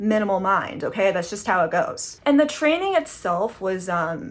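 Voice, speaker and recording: Amid noticeable background noise, a woman speaks in an animated tone at a fairly slow pace. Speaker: comedian and former barista. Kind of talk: online stand-up monologue. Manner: casual, animated.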